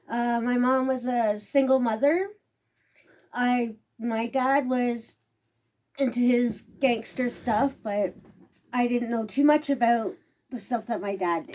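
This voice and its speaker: A woman's high voice with a Canadian accent, very slow, broken by long, frequent pauses, with ordinary pitch variation. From Toronto, Canada. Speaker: former inmate. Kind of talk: interview answer.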